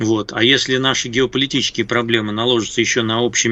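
Very fast speech comes from a man with a medium pitch. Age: 60s. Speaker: political analyst and journalist. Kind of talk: casual chat. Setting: Skype call. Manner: halting.

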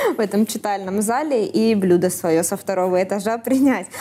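Speaking at a moderate pace, a woman has a dark, mellow tone, a fairly high pitch and ordinary pitch variation. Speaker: podcast host.

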